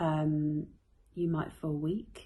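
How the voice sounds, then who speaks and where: A soft-spoken woman with a British accent has a fairly low pitch and a dark, mellow tone. She speaks at a very slow pace. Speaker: health vlogger. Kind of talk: casual explainer to camera. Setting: at home at bedtime. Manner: quiet, soft-spoken; hesitant, many fillers.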